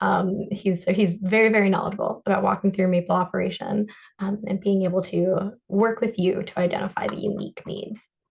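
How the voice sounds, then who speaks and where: This woman speaks with hardly any pauses in a somewhat breathy voice and a monotone, flat intonation. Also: medium pitch for a woman, fairly quick pace. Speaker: energy efficiency program presenter. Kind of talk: webinar presentation. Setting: webinar. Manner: fast.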